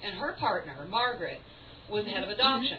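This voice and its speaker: Noticeable background noise is present behind the woman's voice. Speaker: stage performer. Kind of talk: theatrical monologue. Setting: live performance in a cafe.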